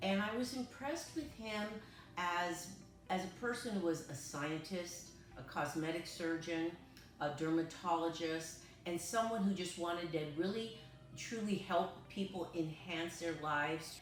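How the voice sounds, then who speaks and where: Music plays in the background as a woman talks at a fairly slow pace, with audible room echo. Her pitch is fairly low and varies in an ordinary way. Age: 60s. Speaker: patient testimonial, retired amateur actress. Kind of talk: testimony. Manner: halting, many fillers.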